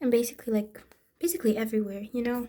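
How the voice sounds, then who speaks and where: A woman speaks with a non-native accent. Her voice is high-pitched, with a dark, mellow tone. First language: not English. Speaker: amateur painter. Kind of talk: tutorial. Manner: hesitant, many fillers.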